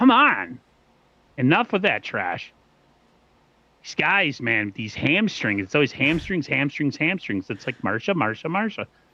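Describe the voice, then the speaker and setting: A man with an American accent speaks in a bright, sharp, animated tone at a fairly high pitch, with very wide pitch swings and vocal fry. His pace is fairly slow, with long, frequent pauses. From US East Coast. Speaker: sports podcast host. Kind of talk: casual chat.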